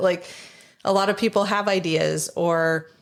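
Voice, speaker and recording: A woman with an American accent speaks at a medium pitch with fairly even intonation in an unremarkable speaking voice, on a very clean recording with a silent background. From Michigan. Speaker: small business founder. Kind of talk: casual interview chat. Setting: studio.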